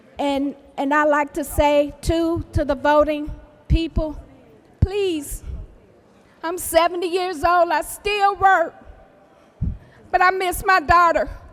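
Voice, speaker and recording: Speaking at a very slow pace with long, frequent pauses, a woman holds a fairly even intonation at an extremely high pitch. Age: 70s. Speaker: victim's mother. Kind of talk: public testimony speech. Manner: halting.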